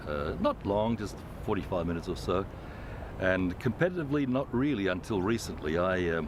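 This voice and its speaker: Lively intonation marks a man's fairly low-pitched voice as he talks at a fairly quick pace with an Australian accent. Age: 60s. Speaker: former Olympic swimmer, aquatic centre director. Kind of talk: interview. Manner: hesitant, many fillers.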